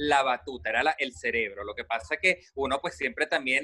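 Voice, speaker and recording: A man speaks in a fairly high pitch with a bright, sharp tone at a moderate pace. The sound is dry and close, with no echo. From Venezuela. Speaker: radio host. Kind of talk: casual chat. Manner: animated.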